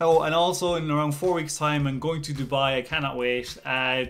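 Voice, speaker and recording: Intonation is fairly even. The speaking runs at a moderate pace. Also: man. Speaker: channel host. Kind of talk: casual vlog chat. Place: home room. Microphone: phone near.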